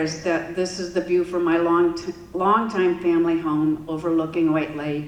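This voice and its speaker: Amid audible room echo and noticeable background noise, a woman talks with a fairly low pitch. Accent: Upper Midwest. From West Michigan. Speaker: environmental advocate and city council member. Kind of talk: public talk. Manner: casual, with fillers.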